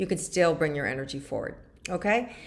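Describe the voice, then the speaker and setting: A woman is speaking. Her intonation is lively. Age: 60s. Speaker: spiritual guide / weekly wellness vlogger. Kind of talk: casual monologue to viewers.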